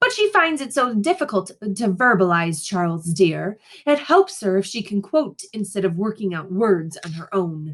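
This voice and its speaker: In a put-on character voice, a woman speaks at medium pitch and a moderate pace, creaky, with lively intonation and big swings in loudness. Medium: read story.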